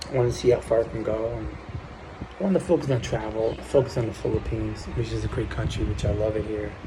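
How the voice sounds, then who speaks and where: A man talks at a very fast pace. Audible room echo and noticeable background noise come through. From US Northeast, New Jersey. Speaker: vlogger. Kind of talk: casual vlog monologue. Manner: speaking low; halting.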